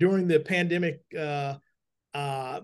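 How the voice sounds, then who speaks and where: A man with a fairly high pitch, fairly slow pace and fairly even intonation against a quiet background. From Kansas City, Missouri. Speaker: newspaper co-founder. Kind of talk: interview. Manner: halting.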